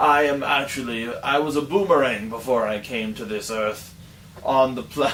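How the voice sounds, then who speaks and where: Over clear background noise, a man does a put-on character voice at a medium pitch and a moderate pace. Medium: solo performance.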